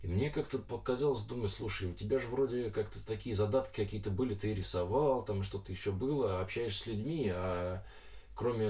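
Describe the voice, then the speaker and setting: Noticeable background noise sits behind this recording. A man speaks at a fairly quick pace with a fairly low pitch. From Moscow region, Russia (Lyubertsy). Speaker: comics artist. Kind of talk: interview. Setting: studio.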